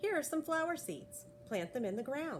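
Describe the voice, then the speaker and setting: Over clear background noise, a woman performs in a put-on character voice. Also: fairly high pitch for a woman, moderate pace. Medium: read story.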